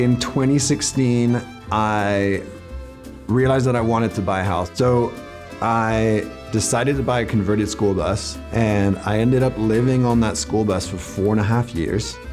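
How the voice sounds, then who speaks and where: Speech at a moderate pace with ordinary pitch variation, music in the background. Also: man, fairly low pitch for a man. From France (Paris area). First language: French. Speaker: real estate agent. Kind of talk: casual talk to camera.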